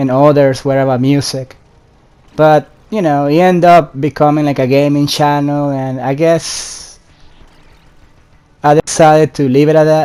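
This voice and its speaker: With a non-native accent, the speaker uses a dark, mellow tone and monotone, flat intonation at a moderate pace, leaving long, frequent pauses. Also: man, fairly high pitch for a man. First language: not English. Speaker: gaming YouTuber. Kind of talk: casual vlog commentary. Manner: halting, many fillers and restarts.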